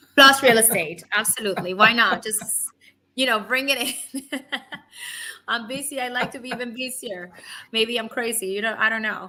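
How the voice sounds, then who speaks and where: A woman with a Spanish accent speaks in a bright, sharp tone. Her loudness swings widely, and she takes long, frequent pauses. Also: fairly high pitch for a woman, ordinary pitch variation, moderate pace. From Cuba. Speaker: physician assistant and real estate lender. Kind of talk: interview.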